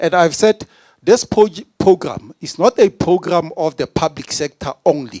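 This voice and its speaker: Vocal fry and a dark, mellow tone with lively intonation, in a dry, close sound with no echo. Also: man. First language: not English. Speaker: provincial politician. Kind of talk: speech. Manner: animated.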